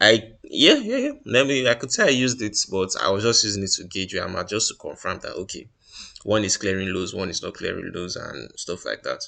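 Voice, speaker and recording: A man talks fairly quickly, and the background is quiet. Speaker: trader reviewing trades. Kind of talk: screen-share tutorial. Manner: fast; halting, many fillers and restarts.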